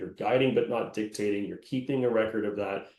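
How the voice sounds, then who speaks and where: A man talks at a fairly quick pace in a plain, everyday voice of medium pitch. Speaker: employment lawyer. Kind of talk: webinar presentation. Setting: online webinar.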